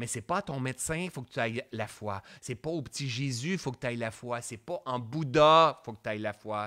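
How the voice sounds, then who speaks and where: Moving at a fairly quick pace, a man sounds animated, his tone bright and sharp with ordinary pitch variation, in a very clean recording with a silent background. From Quebec, Sherbrooke. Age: 40s. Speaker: mindfulness coach. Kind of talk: live-streamed coaching talk. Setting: Facebook live stream.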